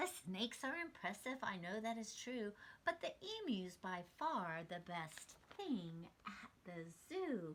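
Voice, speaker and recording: This is a put-on character voice moving at a fairly slow pace. Its pitch swings very widely. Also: woman, medium pitch for a woman. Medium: read story.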